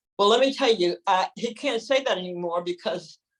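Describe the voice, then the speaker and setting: A woman with a plain, everyday voice speaks at a medium pitch with ordinary pitch variation. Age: 60s. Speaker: spiritual healer and community organizer. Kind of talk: personal testimony in an online group call.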